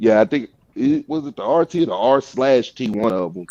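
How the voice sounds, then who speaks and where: A man with an American accent speaks in an ordinary speaking voice at a medium pitch. His intonation is lively, and the sound is dry and close with no echo. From US South, Georgia. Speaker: car builder. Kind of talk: casual chat.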